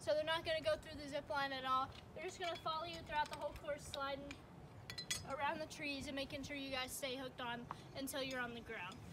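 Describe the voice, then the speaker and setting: Noticeable background noise surrounds a woman with a high pitch. She talks at a very fast pace with ordinary pitch variation. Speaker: zip line guide. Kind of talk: safety briefing instructions. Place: forest. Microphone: camera far.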